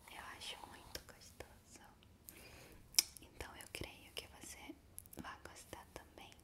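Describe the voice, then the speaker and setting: Her pace is very slow. The woman talks in a whisper. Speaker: ASMR creator. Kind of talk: soft ASMR roleplay talk. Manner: soft close-mic ASMR murmur. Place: home room. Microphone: studio mic.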